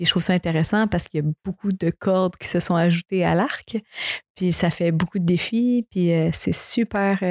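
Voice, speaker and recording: A normal speaking voice from a woman at medium pitch, with fairly even intonation and a moderate pace. The recording is very clean, with a silent background and a dry, close sound with no echo. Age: 20s. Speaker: singer. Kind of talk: casual chat.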